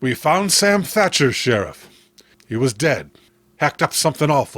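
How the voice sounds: Putting on a character voice, a man speaks at a fairly slow pace with a fairly high pitch, a fairly bright tone, and big pitch swings.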